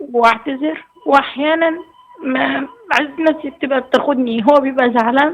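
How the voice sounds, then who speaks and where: Over noticeable background noise, a woman with a high pitch speaks in fairly even intonation. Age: 20s. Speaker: caller. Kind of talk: phone-in advice call. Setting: phone call.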